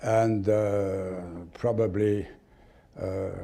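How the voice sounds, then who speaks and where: Somewhat breathy, a man speaks in a dark, mellow tone at a fairly low pitch with ordinary pitch variation. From Switzerland. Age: 70s. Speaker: sports lawyer. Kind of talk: interview. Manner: halting.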